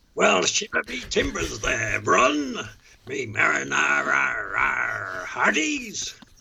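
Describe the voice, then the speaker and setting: A man puts on a character voice, speaking at a very slow pace. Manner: playful, theatrical.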